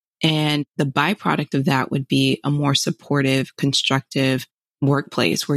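A woman with a very deep, low pitch and an American accent speaks at a moderate pace with fairly even intonation, the sound dry and close with no echo. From South Florida, Fort Lauderdale. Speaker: HR professional and motivational speaker. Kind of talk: interview.

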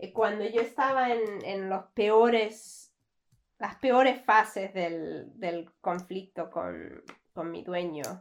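Very slow and at a medium pitch, a woman speaks with ordinary pitch variation and big swings in loudness. The background is quiet. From Canada. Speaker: recruitment manager. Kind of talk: interview. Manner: halting.

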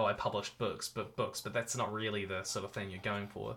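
The recording is very clean, with a silent background. A man speaks fairly quickly in a bright, sharp tone. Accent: New Zealand. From New Zealand. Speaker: YouTuber and author. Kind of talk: casual interview. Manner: halting, many repeated words.

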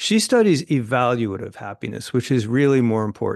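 A man with an American accent has a normal speaking voice at a medium pitch, with ordinary pitch variation. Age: 60s. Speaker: journalist and author. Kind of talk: interview.

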